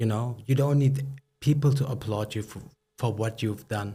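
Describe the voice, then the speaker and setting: On a very clean recording with a silent background, a man with a medium pitch and a dark, mellow, somewhat breathy tone speaks at a moderate pace with fairly even intonation. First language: not English. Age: 30s. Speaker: startup founder and CEO. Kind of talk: podcast interview. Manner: halting.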